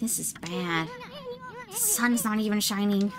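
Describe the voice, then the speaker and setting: A put-on, nasal, female-sounding character voice at a middle pitch, over clear background noise. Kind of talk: comic overacting. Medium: virtual streamer. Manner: brash, chattering, worried.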